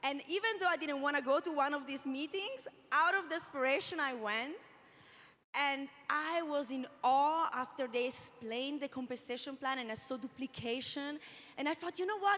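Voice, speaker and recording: With an Italian accent, a woman speaks at a moderate pace in a high pitch with ordinary pitch variation. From Italy. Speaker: network marketing leader, panelist. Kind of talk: panel discussion testimony.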